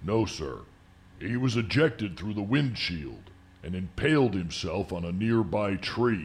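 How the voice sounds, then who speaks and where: Putting on a gravelly character voice, a man speaks at a moderate pace with fairly low pitch and lively intonation. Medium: audio drama. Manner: formal, polite, addresses him as sir.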